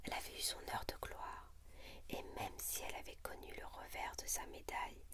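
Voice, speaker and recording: Someone whispers at a fairly slow pace. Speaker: ASMR reader. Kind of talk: book reading. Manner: whispered.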